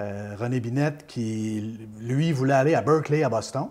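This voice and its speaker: A man speaks at a fairly slow pace with medium pitch and ordinary pitch variation. It is an unremarkable speaking voice. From Quebec, Beauce region. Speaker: former radio host. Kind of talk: interview, life story. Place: home room. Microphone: lapel.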